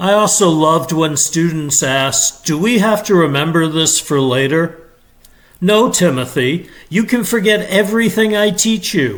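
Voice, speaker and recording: Intonation here is lively. Delivery runs at a fairly slow pace. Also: man. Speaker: retired teacher. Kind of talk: storytelling read-aloud. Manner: chill, expressive.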